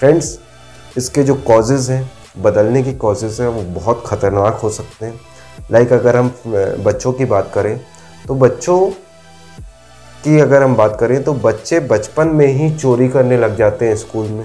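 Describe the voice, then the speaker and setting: Faint music plays in the background as a man with a medium pitch speaks at a fairly slow pace, with ordinary pitch variation and long, frequent pauses. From Madhya Pradesh, India. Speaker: motivational speaker. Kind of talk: motivational talk to camera. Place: home room. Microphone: lapel.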